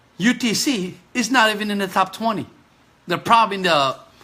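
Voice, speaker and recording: This man has a high-pitched, raised, projected voice and an animated tone. He keeps a moderate pace with ordinary pitch variation. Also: long, frequent pauses. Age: 50s. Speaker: physical therapist and kidney patient. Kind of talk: Facebook live appeal. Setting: live stream. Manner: halting, repeated stutter-like restarts; animated, pleading.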